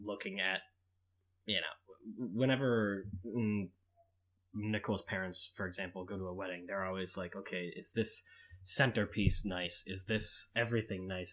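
A man's plain, everyday voice with an American accent, fairly low pitch, fairly even intonation and a moderate pace, on a very clean recording with a silent background. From Boston. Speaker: guest, guest's fiance. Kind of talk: casual chat.

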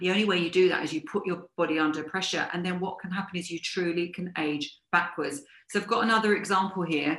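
Talking very fast with hardly any pauses, a woman keeps a fairly low pitch and fairly even intonation. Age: 50s. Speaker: fitness and business coach. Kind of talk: live-streamed talk to viewers. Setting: live video stream.

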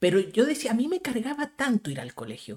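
A man with a Chilean accent, extremely high in pitch, with very wide pitch swings at a moderate pace. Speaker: podcast host. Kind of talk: casual chat.

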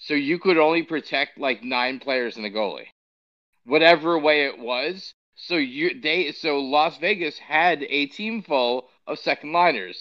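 Delivered at a fairly slow pace, an unremarkable speaking voice shows ordinary pitch variation. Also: man, fairly high pitch for a man. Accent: American. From New York. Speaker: podcast co-host. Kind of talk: casual chat.

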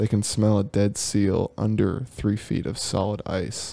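Mumbling and soft-spoken, a man talks at a fairly low pitch with a dark, mellow tone on a very clean recording with a silent background. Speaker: podcast co-host. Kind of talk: casual chat. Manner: mumbly, soft-spoken.

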